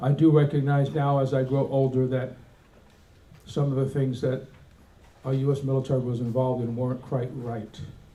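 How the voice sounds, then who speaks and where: A man speaks at a moderate pace in a dark, mellow, somewhat breathy tone, with monotone, flat intonation. Long, frequent pauses break up his speech, and audible room echo surrounds it. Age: 70s. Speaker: Air Force veteran presenting a resolution. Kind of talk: convention speech. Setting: convention hall with audience. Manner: halting.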